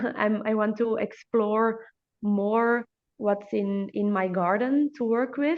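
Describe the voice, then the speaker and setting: A woman with a Dutch accent speaks very slowly at a fairly high pitch, her loudness staying very even. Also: ordinary pitch variation. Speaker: hair therapist podcast host. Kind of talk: interview. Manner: halting.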